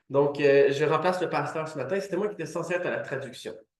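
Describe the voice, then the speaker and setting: With audible room echo around him, a man speaks at a fairly high pitch with ordinary pitch variation. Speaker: preacher. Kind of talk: sermon.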